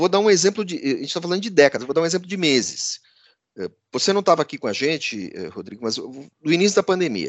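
A high-pitched man speaks at a very fast pace with lively intonation. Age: 50s. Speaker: podcast host and business editor. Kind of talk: casual news commentary.

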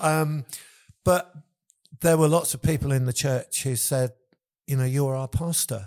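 Speaking with an English accent, a man with a fairly high pitch moves at a fairly slow pace, using ordinary pitch variation and long, frequent pauses. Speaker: worship leader and church leader. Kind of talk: casual interview chat.

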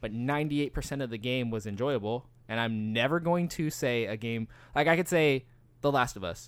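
An unremarkable speaking voice with lively intonation, on a very clean recording with a silent background. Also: man. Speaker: podcast co-host. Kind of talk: casual banter chat. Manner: talkative, jokey, interrupts and overlaps.

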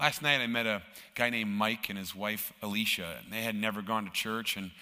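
Speaking with an Upper Midwest accent, a man has a fairly low voice with a bright, sharp tone. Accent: Upper Midwest American. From Minnesota, US. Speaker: guest church speaker for a charity. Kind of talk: sermon. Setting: church with live audience.

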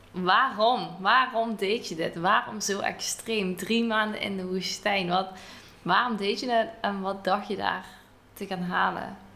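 A woman at medium pitch, very slow in pace, with fairly even intonation. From Netherlands. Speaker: podcast host and travelling cook. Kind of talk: interview. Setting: recorded in a house in Greece.

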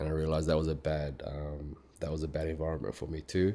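A man with an Australian accent, a very deep, low pitch, a dark, mellow tone and a moderate pace. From Australia, Melbourne. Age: 30s. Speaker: fitness professional, bodybuilder. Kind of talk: casual interview.

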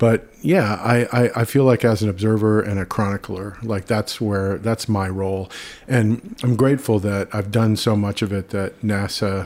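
This man has a fairly low pitch and speaks at a moderate pace. His delivery is monotone, with flat intonation. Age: 50s. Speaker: photographer. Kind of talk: casual interview. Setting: in-person at his studio.

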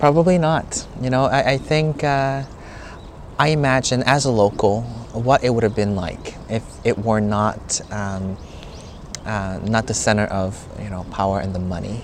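With a Korean accent, a man speaks at a medium pitch and moderate pace, showing ordinary pitch variation and long, frequent pauses. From South Korea, Seoul (Gangnam). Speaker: tour guide. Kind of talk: casual chat. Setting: noisy cafe.

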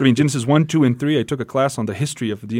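In a Portuguese accent, a man speaks at a very fast pace with fairly even intonation. The recording is very clean, with a silent background. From Brazil. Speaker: pastor and musician. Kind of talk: radio interview.

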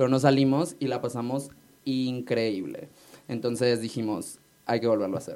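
A man's dark, mellow tone carries fairly even intonation. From Mexico, Hermosillo, Sonora. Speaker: drag queen. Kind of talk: casual chat. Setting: studio.

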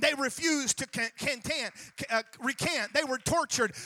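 A man's raised, projected voice at a moderate pace, with ordinary pitch variation and a dry, close sound with no echo. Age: 40s. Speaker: pastor. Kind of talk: sermon. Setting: church.

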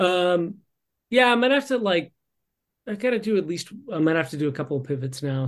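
A man with an American accent and lively intonation against a quiet background. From Texas. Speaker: podcast guest, fantasy sports player. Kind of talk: casual chat. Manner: halting, many fillers.

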